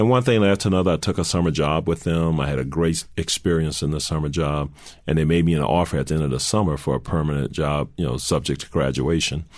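At a very fast pace, a man with an American accent speaks in a very deep, low pitch with ordinary pitch variation. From US South, New Orleans. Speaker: corporate CEO. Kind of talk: interview.

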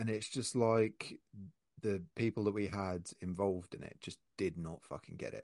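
A man with a plain, everyday voice speaks at a fairly low pitch with fairly even intonation, the sound dry and close with no echo. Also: moderate pace. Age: 30s. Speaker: podcast host, print shop owner. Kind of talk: casual chat.

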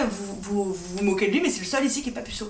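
The speaker talks at a very fast pace with ordinary pitch variation, with audible room echo and noticeable background noise. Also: woman. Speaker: podcast host. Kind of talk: casual chat.

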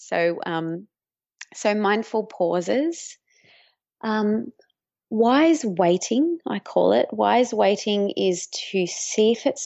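A woman with an Australian accent speaks at a very slow pace. Her medium-pitched voice carries lively intonation. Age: 30s. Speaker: mindfulness teacher. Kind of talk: interview.

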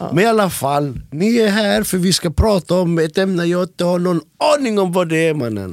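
Quick-paced and lively in intonation, a man talks in a high pitch. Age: 30s. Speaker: podcast host and music producer. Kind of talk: casual chat.

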